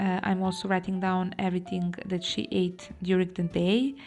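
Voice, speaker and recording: With music in the background, a woman in a Serbian accent talks at a fairly slow pace in a monotone, flat intonation. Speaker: planner vlogger. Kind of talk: tutorial. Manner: halting.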